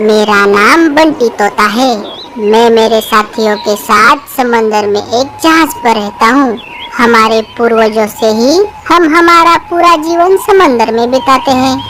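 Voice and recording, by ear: A woman in a cartoonish character voice at high pitch and fairly slow pace, with clear background noise.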